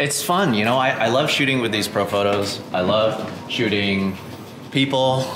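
A man at a fairly slow pace, ordinary pitch variation, noticeable background noise behind him. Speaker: photography workshop host. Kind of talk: casual vlog chat. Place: hall. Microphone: phone near.

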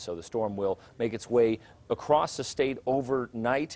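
A man talks in a relaxed tone at a moderate pace, his pitch moving in an ordinary way. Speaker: weather forecaster. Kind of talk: weather forecast broadcast, conversational but informative. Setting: studio. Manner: relaxed and conversational with occasional fillers. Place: studio.

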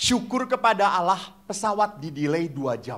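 A man talks in an animated tone at a high pitch. His voice moves through very wide pitch swings. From Indonesia, Java; Indonesia. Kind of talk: sermon. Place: hall. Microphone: handheld.

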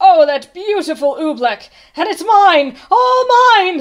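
A put-on character voice moves at a slow pace with big pitch swings. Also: woman, extremely high pitch for a woman.

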